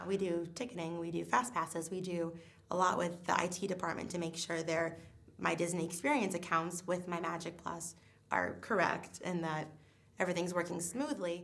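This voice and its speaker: A woman's fairly quick speech with audible room echo. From New England. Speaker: theme park guest relations worker. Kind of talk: interview testimony. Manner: fast.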